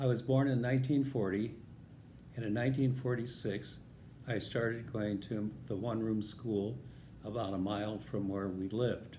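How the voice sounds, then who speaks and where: A man with an American accent, medium pitch and a somewhat breathy voice, moderate pace, fairly even intonation, and audible room echo. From US Midwest, northern Illinois. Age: 80s+. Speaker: vlogger telling life stories. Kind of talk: personal storytelling.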